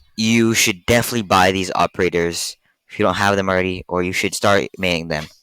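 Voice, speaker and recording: Over a very clean recording with a silent background, a man speaks at a fairly quick pace. His very deep, low pitch carries a bright, sharp tone and fairly even intonation. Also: dry, close sound with no echo. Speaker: gaming youtuber. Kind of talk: casual commentary. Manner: halting.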